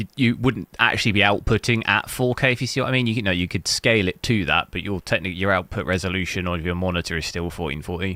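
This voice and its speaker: A man speaks at a very fast pace with a very deep, low pitch and a bright, sharp tone. The sound is dry and close with no echo, and the pitch variation is ordinary. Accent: English. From England. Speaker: gaming hardware streamer. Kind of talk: casual live-stream commentary. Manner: casual, many fillers.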